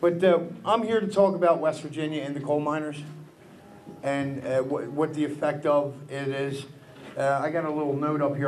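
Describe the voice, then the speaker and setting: There is audible room echo and noticeable background noise. Over it, a fairly high-pitched man with a Philadelphia accent talks at a fairly quick pace. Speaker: taxi driver and speaker. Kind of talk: public speech. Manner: fast.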